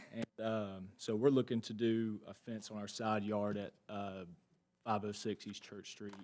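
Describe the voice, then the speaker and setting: A man with a Georgia accent talks at a fairly slow pace in a fairly low, monotone, flat voice, with big swings in loudness. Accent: US South, Georgia. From Monroe, Georgia. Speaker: teacher and football coach. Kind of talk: presentation to commission.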